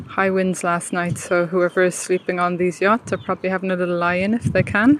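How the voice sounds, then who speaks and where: Using an Irish accent, a woman talks at a fairly quick pace in a medium pitch with fairly even intonation. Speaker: walking tour vlogger. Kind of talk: live-streamed walking tour commentary. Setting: outdoors, walking. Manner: lowered, quieter voice.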